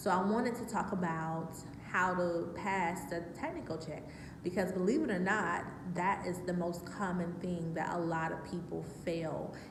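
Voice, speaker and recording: Speaking with an American accent at a moderate pace, a woman uses a fairly low pitch and fairly even intonation, with noticeable background noise and audible room echo. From Georgia, US South. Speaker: work-from-home vlogger. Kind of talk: tutorial. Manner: casual, lots of filler 'um'.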